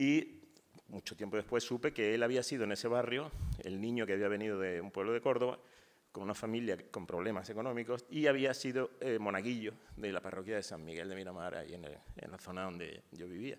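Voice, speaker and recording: A man speaks at a fairly quick pace in a fairly low voice, with ordinary pitch variation and big swings in loudness. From Spain, Málaga. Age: 60s. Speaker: poet. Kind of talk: panel talk. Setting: university auditorium, panel discussion. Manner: hesitant, with fillers and false starts.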